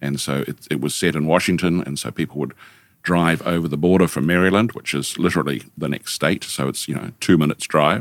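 A man with a New Zealand accent talks at a fairly quick pace in a very deep, low voice with vocal fry. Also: ordinary pitch variation. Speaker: senior lecturer and studio director. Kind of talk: casual interview conversation. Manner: joking, playful.

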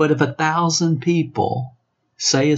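A man speaks with a Southern US accent. His pitch is fairly high. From US South. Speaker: network marketing trainer. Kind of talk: training monologue. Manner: animated.

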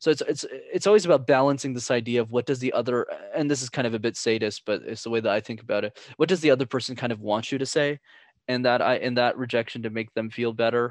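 A man with a Canadian accent speaks very fast at a medium pitch with ordinary pitch variation, in a dry, close sound with no echo against a quiet background. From Canada. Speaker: communication coach. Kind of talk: interview conversation.

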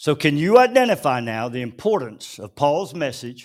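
A man in a plain, everyday voice speaks at a moderate pace with a fairly high pitch and lively intonation, on a very clean recording with a silent background. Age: 60s. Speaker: pastor. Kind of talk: sermon. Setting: church.

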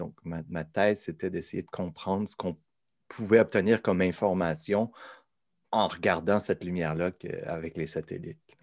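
A man's voice at a moderate pace with fairly level intonation, recorded very cleanly against a silent background, the sound dry and close without echo. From Quebec, south shore near Quebec City. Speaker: professor. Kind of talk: interview. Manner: halting.

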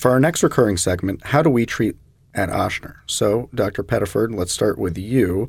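Recorded very cleanly over a silent background, a man with an American accent speaks at a fairly low pitch and moderate pace, somewhat breathy, with lively intonation. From US South, Jacksonville, Florida. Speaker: medical oncologist, podcast host. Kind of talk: medical interview podcast.

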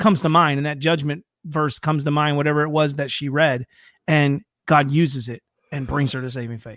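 Recorded very cleanly over a silent background, a man with an American accent and a plain, everyday voice speaks at a fairly quick pace in a fairly high pitch. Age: 40s. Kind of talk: casual chat.

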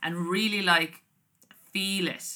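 In an Irish accent, a woman speaks at a fairly slow pace with a bright, sharp tone. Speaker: podcast host. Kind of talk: casual monologue. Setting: home recording. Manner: chatty, rambling.

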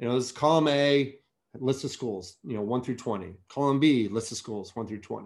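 Medium in pitch and with an American accent, a man has an unremarkable speaking voice. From US, Virginia (Alexandria, DC area). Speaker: rowing company marketing director. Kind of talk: interview.

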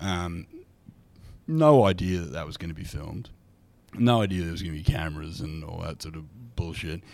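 A man with an Australian accent speaks in a very deep, low voice at a moderate pace, with ordinary pitch variation. His loudness swings widely, and he takes long, frequent pauses. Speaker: comedian. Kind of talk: casual chat.

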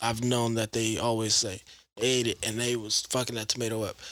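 The man sounds animated, with a bright, sharp tone. He speaks at a fairly quick pace. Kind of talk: casual banter chat. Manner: joking, animated.

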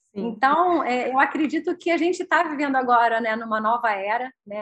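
A bright, sharp tone at a fairly quick pace with ordinary pitch variation. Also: woman. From Rio de Janeiro, Brazil. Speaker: entrepreneur, former publisher. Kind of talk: interview.

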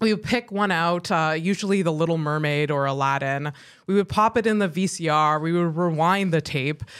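An ordinary speaking voice at a moderate pace, with ordinary pitch variation, very even loudness and a very clean recording with a silent background. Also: woman, fairly low pitch for a woman. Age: 30s. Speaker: podcast host. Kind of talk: scripted narration; casual chat.

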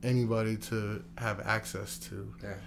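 A man with a fairly low pitch talks, and audible room echo follows his words. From grew up moving around as a military child. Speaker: business owner and city council candidate. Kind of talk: casual interview.

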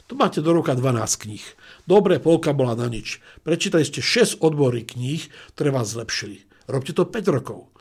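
A man with a fairly high pitch talks with lively intonation, somewhat breathy, and his loudness swings widely. The recording is very clean, with a silent background. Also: moderate pace. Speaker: management school president and business coach. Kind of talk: interview.

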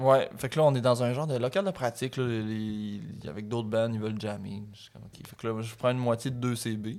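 A man talks at a fairly quick pace in an ordinary speaking voice, medium in pitch with ordinary pitch variation and big swings in loudness. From Quebec (Montreal, Hochelaga). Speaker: rapper. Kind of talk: casual interview.

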